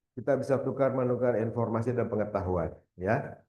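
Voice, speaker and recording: A man speaks in a West Javanese accent. His tone is dark and mellow, with ordinary pitch variation. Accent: Sundanese. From West Java, Indonesia (Bogor). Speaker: university lecturer, keynote speaker. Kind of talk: seminar presentation. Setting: hybrid seminar with live audience and Zoom.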